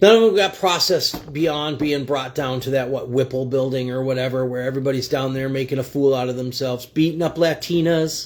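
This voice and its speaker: With hardly any pauses, a man speaks fairly quickly at a medium pitch with ordinary variation. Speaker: livestream commentator. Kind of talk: political commentary livestream. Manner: fast; animated.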